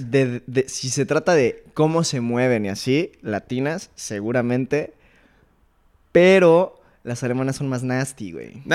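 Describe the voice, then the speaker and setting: Here is a man with an ordinary speaking voice and a medium pitch. He speaks fairly slowly with ordinary pitch variation. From Mexico City. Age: 20s. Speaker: engineering student. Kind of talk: casual chat.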